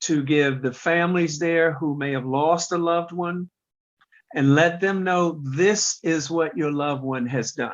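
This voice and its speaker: The pace runs fairly slow. It is an unremarkable speaking voice, its pitch varying in an ordinary way. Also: man, fairly high pitch for a man. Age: 60s. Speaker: kidney transplant recipient, patient organization president. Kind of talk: podcast interview.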